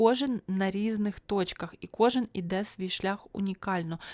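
A woman's dark, mellow voice at medium pitch, dry and close with no echo. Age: 30s. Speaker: YouTube vlogger. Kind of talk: solo video podcast monologue. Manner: casual, chatty.

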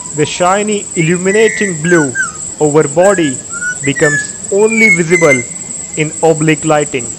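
A man with an Indian accent and a fairly high pitch speaks with long, frequent pauses over noticeable background noise. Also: ordinary pitch variation, moderate pace. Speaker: nature documentary filmmaker and narrator. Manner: measured, even-paced and formal, with gentle enthusiasm.

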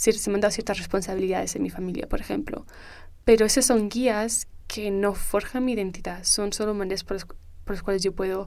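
Speaking at a medium pitch, a woman has an ordinary speaking voice. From Spain (Canary Islands) and England. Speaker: university student. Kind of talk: interview conversation. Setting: studio.

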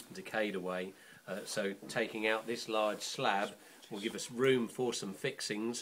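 There's an unremarkable speaking voice here: a man at a fairly low pitch and a moderate pace. Light background noise sits underneath. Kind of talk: explanatory demonstration. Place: workshop.

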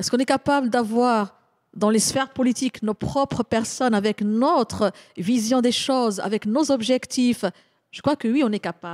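Against a quiet background, a woman with an ordinary speaking voice talks at a moderate pace, her fairly high pitch showing ordinary variation. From Morocco. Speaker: intercultural consultant and speaker; speaker. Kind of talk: panel discussion. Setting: live panel at a community centre. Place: hall.

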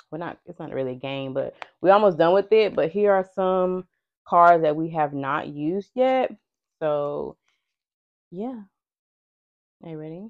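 The delivery moves at a fairly slow pace with long, frequent pauses. Its intonation is lively. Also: woman, fairly low pitch for a woman, big swings in loudness. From US South, Georgia. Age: 30s. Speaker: lifestyle vlogger. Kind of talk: casual chat. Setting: home recording with mics.

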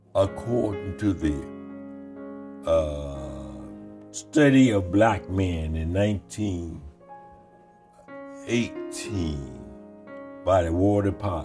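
A man with a very deep, low pitch, speaking at a very slow pace with long, frequent pauses and very wide pitch swings, over music in the background. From Selma, Alabama. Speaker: war veteran. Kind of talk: oral history interview answer.

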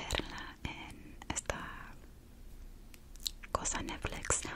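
Whispering from a woman. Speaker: ASMR creator. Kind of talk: casual ASMR ramble. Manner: whispered. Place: home room. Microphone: studio mic.

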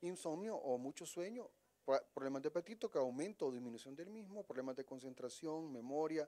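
A man talks at a fairly quick pace. His tone is dark and mellow. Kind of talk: interview answer. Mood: calm, explanatory. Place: office. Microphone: handheld.

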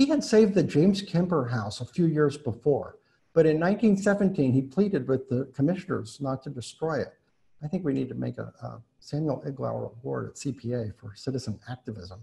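A man with an American accent speaks at a moderate pace and a fairly high pitch, in a dark, mellow tone with vocal fry. His pitch swings very widely, and his loudness rises and falls a lot. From Indiana. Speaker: architect and preservation director; architect giving a lecture. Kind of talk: lecture. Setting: video call. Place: home room. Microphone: webcam.

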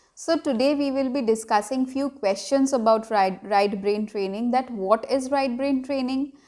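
A woman with a Bengali accent speaks in a high-pitched voice with a dark, mellow tone and ordinary pitch variation. She keeps a moderate pace with hardly any pauses against a quiet background. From India (Bengali). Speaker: parenting vlogger. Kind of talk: tutorial. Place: home room.

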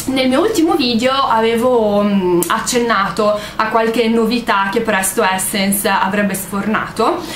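The speech moves at a fairly slow pace. Audible room echo and light background noise come through. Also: woman. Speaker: beauty vlogger. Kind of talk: casual vlog chat. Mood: relaxed, chatty. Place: home room. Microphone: webcam.

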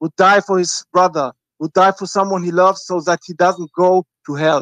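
Fairly even intonation in a dry sound with no echo and a quiet background. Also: man. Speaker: caller. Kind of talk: phone-in call. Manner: halting. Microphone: video call.

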